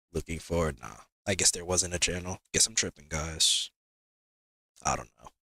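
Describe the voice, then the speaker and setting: A man speaks at a moderate pace in a very deep, low pitch with vocal fry and ordinary pitch variation. His tone is bright and sharp, and his loudness swings widely. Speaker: gaming streamer. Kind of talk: live stream commentary.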